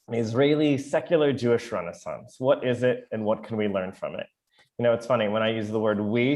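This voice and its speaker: Here is a man with an American accent and a plain, everyday voice, medium in pitch with ordinary variation. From US Midwest, Chicago. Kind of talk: online lecture. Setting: video call. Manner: casual, with many fillers.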